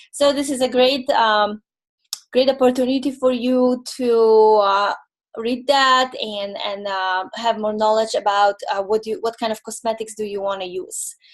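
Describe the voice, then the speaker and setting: A woman speaks with a Polish accent at a fairly high pitch. She talks at a fairly slow pace with ordinary pitch variation. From Poland. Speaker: holistic nutrition consultant. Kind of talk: webinar presentation. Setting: online webinar. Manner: halting, many fillers.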